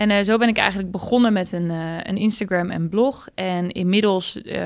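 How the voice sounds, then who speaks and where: A woman speaks in a plain, everyday voice at a moderate pace. Her intonation is fairly even. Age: 20s. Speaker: finance blogger. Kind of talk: casual chat.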